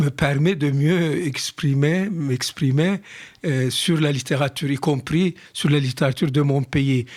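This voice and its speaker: With a Turkish accent, a man speaks at a very slow pace and a fairly high pitch. His intonation is fairly even, and the recording is very clean with a silent background. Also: very even loudness. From Turkey (Istanbul). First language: Turkish (speaking French). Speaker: writer. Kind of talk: radio interview.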